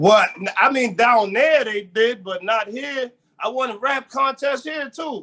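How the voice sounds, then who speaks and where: A man with an extremely high pitch uses a raised, projected voice, his bright, sharp tone moving at a fairly slow pace with ordinary pitch variation. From Erie, Pennsylvania. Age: 30s. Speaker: rapper and producer. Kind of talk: casual interview.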